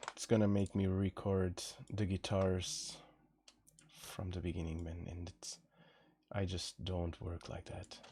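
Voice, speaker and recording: A man with a very deep, low pitch and a dark, mellow, relaxed tone, somewhat breathy, with monotone, flat intonation, a fairly slow pace and long, frequent pauses, in a very clean recording with a silent background. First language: Portuguese. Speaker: singer and streamer composing music. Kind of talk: casual live stream chat. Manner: relaxed, chilled; halting, repeats words.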